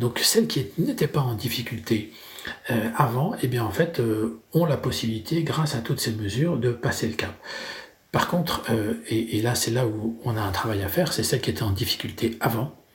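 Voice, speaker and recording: This man has an ordinary speaking voice at medium pitch, talking at a moderate pace with ordinary pitch variation. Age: 50s. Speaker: business owner. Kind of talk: interview.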